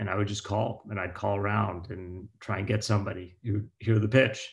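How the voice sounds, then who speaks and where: A man with an American accent speaks at a moderate pace in a fairly low, somewhat breathy voice, on a very clean recording with a silent background. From US, Pittsburgh. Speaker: venture capital investor. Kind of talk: interview.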